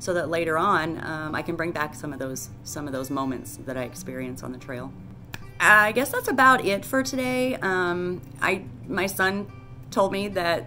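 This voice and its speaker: A woman talks at a moderate pace in a fairly low pitch. Faint music plays in the background. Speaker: hiker vlogger. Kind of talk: casual vlog chat. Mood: earnest, a bit nervous. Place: home room. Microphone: phone near.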